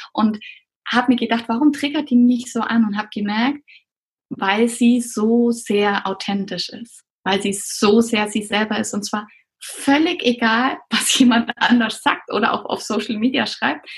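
A woman with a normal speaking voice, fairly high in pitch, with ordinary pitch variation and a fairly slow pace. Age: 30s. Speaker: pediatrician and coach for doctors. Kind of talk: interview.

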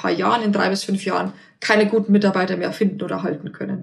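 A woman's medium-pitched voice with vocal fry, ordinary pitch variation and a very fast pace. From Bavaria, near Passau. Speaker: remote work consultant, founder. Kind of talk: interview. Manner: hesitant, many fillers.

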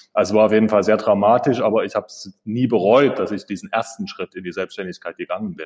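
A man talks at a very fast pace with hardly any pauses and big swings in loudness. The sound is dry and close, with no echo. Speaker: architect. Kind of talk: interview. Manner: halting, many filler sounds.

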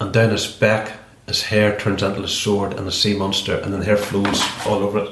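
With a Northern Irish accent, a man talks at a fairly quick pace in a fairly low pitch, with noticeable background noise and audible room echo. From Northern Ireland, County Derry. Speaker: ex political prisoner and B&B host. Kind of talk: casual interview, storytelling. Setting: kitchen at home.

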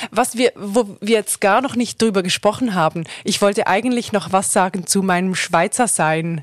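At a moderate pace and with hardly any pauses, a woman with a Swiss German accent and a medium pitch speaks with ordinary pitch variation in a dry, close sound with no echo. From Switzerland. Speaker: radio journalist and reportage student. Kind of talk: casual chat. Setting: studio.

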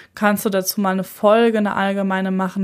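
Speech at a fairly quick pace comes through in a very clean recording with a silent background. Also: woman. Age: 30s. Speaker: podcast host and psychotherapist. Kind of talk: solo podcast introduction.

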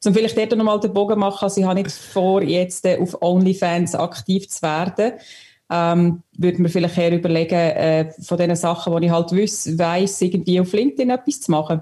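A woman speaks with a dark, mellow tone at a fairly low pitch. Her pace is moderate and her pitch variation ordinary. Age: young. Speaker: listener contributor. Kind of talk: casual chat.

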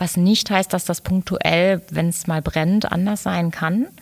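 On a very clean recording with a silent background, a woman speaks at a moderate pace in an ordinary speaking voice, with fairly low pitch and fairly even intonation. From Ruhr area, Germany (Dortmund, Lünen). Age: 40s. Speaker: business coach and designer. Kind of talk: interview.

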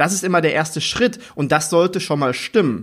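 A moderately paced man's voice on a very clean recording against a silent background. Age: 30s. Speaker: former chef, hospitality consultant. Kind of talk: interview answer.

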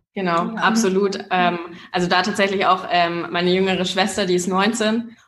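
With audible room echo, a woman speaks at a medium pitch in a flat, monotone delivery. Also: moderate pace. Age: 20s. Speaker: startup founder. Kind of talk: interview.

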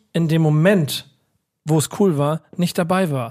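A man is talking here, his pitch fairly high. The pitch varies in an ordinary way. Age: 40s. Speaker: podcast co-host. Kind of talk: casual chat.

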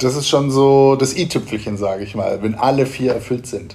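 A man's voice with audible room echo. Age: 40s. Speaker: event venue owner and business coach. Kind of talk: interview. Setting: event venue.

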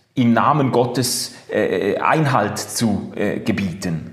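There is audible room echo around a man speaking. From Switzerland, Basel. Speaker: podcast host. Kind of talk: casual chat. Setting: video call.

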